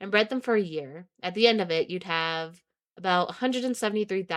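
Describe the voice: Against a quiet background, this is plain reading aloud.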